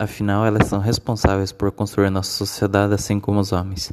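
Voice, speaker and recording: The pace is moderate. A man talks with a fairly low pitch. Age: 20s. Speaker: university student. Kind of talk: reading aloud. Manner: formal; halting.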